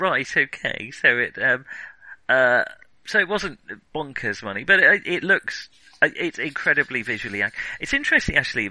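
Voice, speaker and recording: A man with a British accent talks at a moderate pace over a quiet background. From Britain. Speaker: film podcast host. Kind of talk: casual chat. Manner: halting, many fillers.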